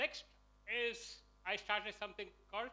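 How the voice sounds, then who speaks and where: A man's raised, projected voice, high-pitched with a bright, sharp tone. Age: 60s. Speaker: entrepreneur. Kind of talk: personal story pitch.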